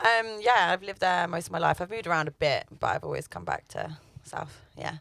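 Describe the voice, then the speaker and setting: Talking at a fairly quick pace, a woman speaks with a London accent. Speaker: singer-songwriter. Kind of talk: radio interview. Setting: radio studio.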